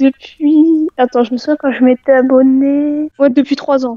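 In a dry, close sound with no echo, a woman speaks at a moderate pace with fairly even intonation and a high pitch.

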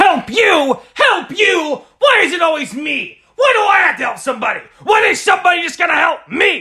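Shouting in a whiny tone, a man speaks with an extremely high pitch at a moderate pace, with hardly any pauses. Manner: irritable, whining.

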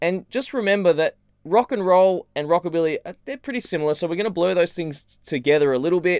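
A man with an Australian accent and a high pitch talks at a very fast pace with ordinary pitch variation, the sound dry with no echo against a quiet background. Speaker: guitar teacher. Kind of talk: casual tutorial. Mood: playful, joking. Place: home room.

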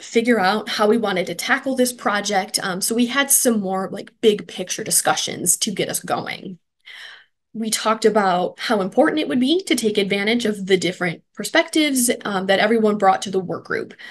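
The woman's speed is moderate. Her pitch shifts in an ordinary way. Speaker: presenter. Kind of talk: presentation. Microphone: webcam.

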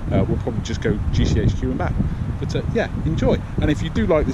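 Loud background noise surrounds a man who speaks at a moderate pace, the sound itself dry with no echo. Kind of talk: casual vlog chat. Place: open country. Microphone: phone near.

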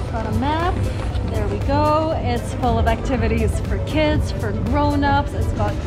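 Music plays in the background. A woman talks at a fairly slow pace. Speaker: travel vlogger. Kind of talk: casual vlog chat. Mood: cheerful, amused. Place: street.

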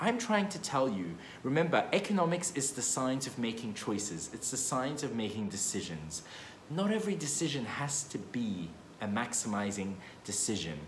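Light background noise and audible room echo surround a man talking at a moderate pace. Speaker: economics educator. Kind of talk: casual explainer vlog. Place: meeting room. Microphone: phone near.

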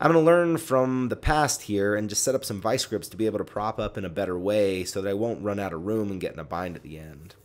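A man speaks at a fast pace with few pauses. His pitch is fairly low, with ordinary pitch variation.

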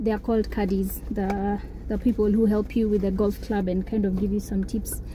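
A dry sound with no echo, light background noise, and a moderate pace. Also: woman. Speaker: vlogger. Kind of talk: casual vlog chat. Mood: relaxed, content. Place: car. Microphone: phone near.

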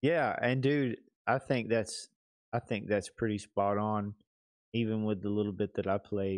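A man talks at a fairly slow pace in an Alabama accent, his pitch fairly low. His intonation stays fairly even over a quiet background. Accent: Alabama Southern. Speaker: gaming podcast co-host. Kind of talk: casual chat. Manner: laughs often. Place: home room. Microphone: studio mic.

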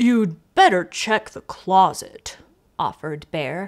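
Reading done in a natural voice

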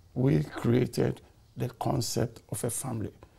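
With a dark, mellow tone and vocal fry, a man at a medium pitch makes very wide pitch swings. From Ghana. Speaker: community elder; podcast guest. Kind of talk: testimony. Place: studio. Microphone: lapel.

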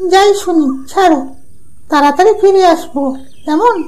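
Here is a cartoonish character voice pitched extremely high. Its delivery comes at a fairly slow pace.

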